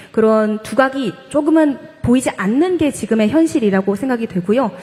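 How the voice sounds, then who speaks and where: A high-pitched woman talks at a fairly quick pace with very wide pitch swings. Noticeable background noise runs underneath. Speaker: professor and esports caster. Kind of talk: panel discussion. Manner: fast.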